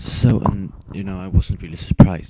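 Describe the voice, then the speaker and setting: Fairly quick in pace, a man speaks at a very deep, low pitch. His tone is dark and mellow. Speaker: video game commentator. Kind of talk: gameplay commentary. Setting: at home. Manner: subdued, low-energy.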